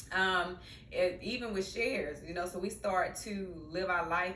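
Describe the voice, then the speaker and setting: A woman with a Mississippi accent speaks in a fairly low pitch and fairly even intonation, with noticeable background noise and audible room echo. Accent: Mississippi country. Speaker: social worker and therapist, podcast host. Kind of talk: casual vlog monologue. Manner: conversational with many fillers.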